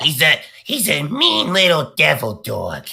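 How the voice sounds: Using a put-on character voice, a man talks at a fairly slow pace in a gravelly, high-pitched tone. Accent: New York.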